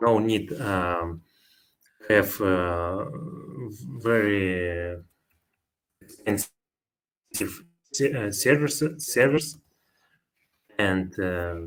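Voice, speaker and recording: A man at a fairly low pitch and a very slow pace, with long, frequent pauses. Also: lively intonation. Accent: non-native. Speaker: software developer. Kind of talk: conference Q&A. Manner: halting.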